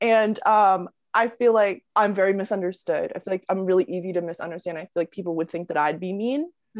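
A woman with a normal speaking voice at medium pitch, ordinary pitch variation, big swings in loudness, and a fairly quick pace, in a very clean recording with a silent background and a dry, close sound with no echo. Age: 20s. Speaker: TikTok creator and college student. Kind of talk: casual interview chat. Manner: casual, filler-heavy.

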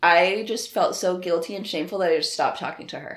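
A normal speaking voice with an American accent and ordinary pitch variation. The recording is very clean, with a silent background. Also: woman. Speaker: adult content creator. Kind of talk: casual interview.

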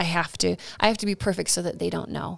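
Against a silent background in a very clean recording, a woman uses an ordinary speaking voice at a medium pitch. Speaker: professional counselor. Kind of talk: casual chat.

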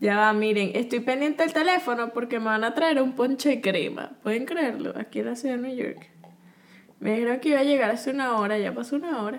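The voice is loud and moves at a fairly quick pace. Its pitch varies in an ordinary way. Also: woman, high pitch for a woman. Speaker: podcast co-host. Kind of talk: casual chat.

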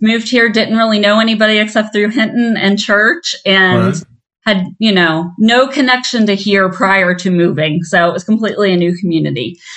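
The speaker has a normal speaking voice with ordinary pitch variation. The pace is moderate, with hardly any pauses. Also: woman, medium pitch for a woman. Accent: American. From southeastern Ohio. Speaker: minister and program director. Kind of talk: interview.

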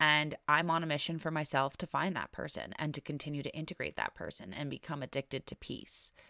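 Bright and sharp in tone, a woman's very deep, low voice carries vocal fry and moves at a fairly quick pace with hardly any pauses. The recording is very clean, with a silent background and a dry, close sound with no echo. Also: ordinary pitch variation. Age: 20s. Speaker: podcast host and self-healing writer. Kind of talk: solo podcast monologue.

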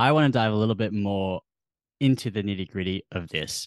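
A man with an Australian accent is heard in a dry, close sound with no echo over a quiet background. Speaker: podcast host. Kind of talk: interview chat.

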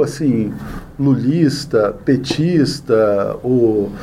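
Audible room echo and noticeable background noise both surround a man's speech. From Brazil, Brasília. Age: 40s. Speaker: journalist and news site founder. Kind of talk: interview. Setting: studio.

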